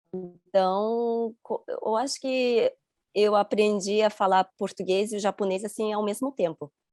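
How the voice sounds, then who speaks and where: Over background music, a woman with a fairly high pitch speaks fairly slowly and with fairly even intonation, in a dry, close sound with no echo. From Rio de Janeiro, Brazil until 11, then Chiba, Japan. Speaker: interview guest. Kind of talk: interview. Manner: halting.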